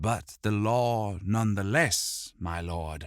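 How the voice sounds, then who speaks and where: This is a put-on character voice delivered at a very slow pace. The recording is very clean, with a silent background. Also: man, fairly low pitch for a man. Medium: read story. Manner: calm, measured.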